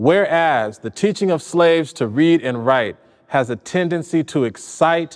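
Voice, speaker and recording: A man with an ordinary speaking voice and lively intonation at a moderate pace, over a quiet background. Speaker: poet. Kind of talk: poetry reading of a historical legal text.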